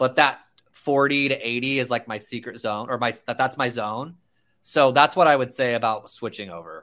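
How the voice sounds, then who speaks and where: Bright and sharp in tone, a man talks at a fairly quick pace with medium pitch and ordinary pitch variation. The recording is very clean, with a silent background. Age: 30s. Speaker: real estate agent. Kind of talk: interview.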